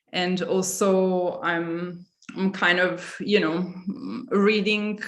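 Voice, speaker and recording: A woman's medium-pitched voice, very slow and flat in a monotone, with audible room echo. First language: Italian. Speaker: curator. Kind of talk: panel discussion.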